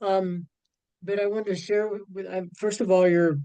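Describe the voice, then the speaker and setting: This man speaks at a high pitch. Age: 70s. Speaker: webinar participant. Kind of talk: question in webinar Q&A. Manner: halting, many fillers.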